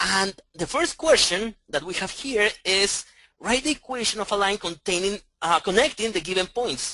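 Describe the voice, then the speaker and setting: Raising and projecting his voice, a man speaks with a bright, sharp tone. His pitch is high and his intonation lively. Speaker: math professor. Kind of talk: lecture. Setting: classroom with online audience. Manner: loud; halting.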